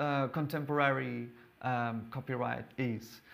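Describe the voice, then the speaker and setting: A man with a Portuguese accent speaks at a very slow pace. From Portugal. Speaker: lawyer and lecturer; lawyer, lecturer. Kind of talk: lecture. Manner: halting, frequent repetitions. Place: hall.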